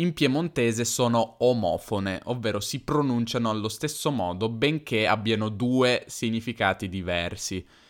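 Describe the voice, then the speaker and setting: On a very clean recording with a silent background, a man talks at medium pitch with ordinary pitch variation. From northern Italy, Piedmont (Turin). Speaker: language teacher podcaster. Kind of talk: casual educational monologue. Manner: hesitant, with fillers and self-repairs.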